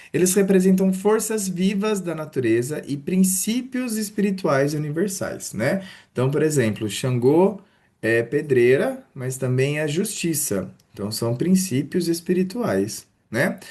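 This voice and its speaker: With a warm tone that is also dark and mellow, a man at a fairly high pitch talks at a fairly slow pace through very wide pitch swings. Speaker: religion teacher. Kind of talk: online lecture. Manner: casual, warm teaching tone.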